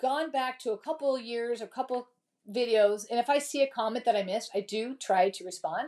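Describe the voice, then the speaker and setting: Dark and mellow in tone, a woman's voice sits at a fairly high pitch with ordinary pitch variation. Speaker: crafting YouTuber. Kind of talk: live craft tutorial stream. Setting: home craft studio. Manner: fast; casual, chatty.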